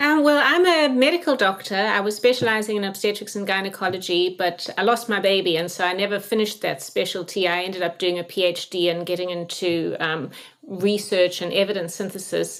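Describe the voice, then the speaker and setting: A woman talking at a fairly quick pace with hardly any pauses, over noticeable background noise. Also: medium pitch for a woman, ordinary pitch variation. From South Africa. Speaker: medical doctor and researcher. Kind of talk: interview. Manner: halting, many fillers.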